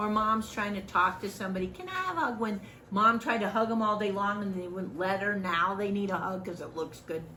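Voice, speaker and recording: A woman talks at a fairly quick pace with ordinary pitch variation. Audible room echo and noticeable background noise are present. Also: medium pitch for a woman. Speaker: volunteer trainer. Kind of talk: training lecture. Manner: loud; animated.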